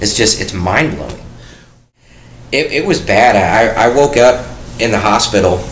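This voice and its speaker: An American accent amid audible room echo and noticeable background noise. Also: man. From US Midwest, Detroit area. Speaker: war veteran. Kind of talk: interview, personal testimony.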